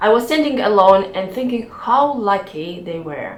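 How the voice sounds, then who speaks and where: Fairly slow, lively speech with a non-native accent, audible room echo and music in the background. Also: woman. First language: not English. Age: 40s. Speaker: YouTuber and cloud engineer. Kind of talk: personal vlog talk.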